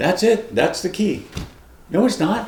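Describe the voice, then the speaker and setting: A man with a high-pitched voice speaks with audible room echo. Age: 60s. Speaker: retired police officer, diet vlogger. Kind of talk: personal testimony vlog. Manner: casual, conversational.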